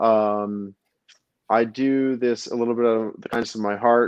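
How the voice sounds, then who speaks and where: Here a man speaks with an American accent. His pace is moderate. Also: dry, close sound with no echo, quiet background. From New Jersey. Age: 30s. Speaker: podcast guest, architect and tarot reader. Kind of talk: casual chat.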